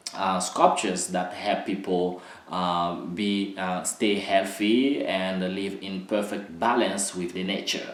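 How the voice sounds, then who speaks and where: A man speaks very slowly in a fairly low pitch with a non-native accent. Noticeable background noise and audible room echo fill the recording. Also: fairly even intonation. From Republic of Congo. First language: not English. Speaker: dance artist and choreographer. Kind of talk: educational talk. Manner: halting, many fillers.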